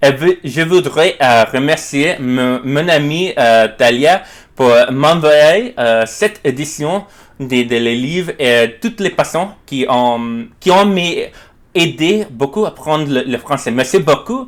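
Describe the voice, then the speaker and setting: On a very clean recording with a silent background, a man speaks very slowly, with a fairly high pitch and lively intonation. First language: not French (learner) (speaking French). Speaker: French learner vlogger, book reviewer. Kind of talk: book review monologue. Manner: halting, many hesitations.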